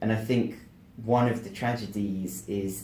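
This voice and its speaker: In an English accent, the voice moves at a fairly slow pace with fairly even intonation and a dark, mellow tone, with audible room echo. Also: man. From England. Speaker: motivational speaker and author. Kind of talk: interview. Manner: articulate.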